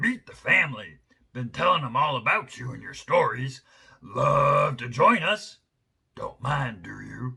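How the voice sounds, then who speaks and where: A put-on character voice, croaky and raspy. It moves at a fairly slow pace. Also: man. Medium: read story. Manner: clipped, chummy phrases.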